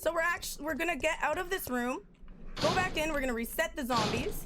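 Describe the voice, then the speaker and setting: Over noticeable background noise, a woman talks loudly at a very fast pace. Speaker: speedrunner. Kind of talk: live commentary.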